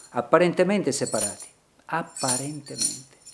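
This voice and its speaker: A man with a fairly high pitch talks in a normal speaking voice with lively intonation. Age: 60s. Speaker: painter. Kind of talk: reflective monologue in short film. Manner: slow.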